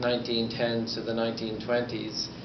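A man speaks with noticeable background noise. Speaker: conference speaker. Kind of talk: lecture. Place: hall. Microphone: camera far.

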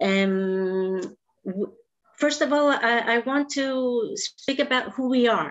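Speaking very slowly with a Greek accent, a woman uses a high pitch with very wide pitch swings and very even loudness. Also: quiet background. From Greece. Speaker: special education teacher. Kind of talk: presentation. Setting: video call. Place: home room. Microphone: webcam.

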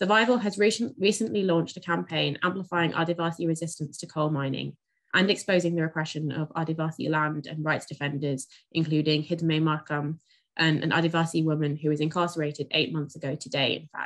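Her very deep, low voice moves at a fairly quick pace with ordinary pitch variation against a quiet background. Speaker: event organiser host. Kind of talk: event introduction. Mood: calm, polite. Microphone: video call.

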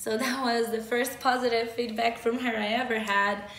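A woman's fairly even intonation with audible room echo. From Moldova. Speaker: metal band vocalist and YouTuber; YouTuber. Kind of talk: casual vlog storytelling. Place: home room.

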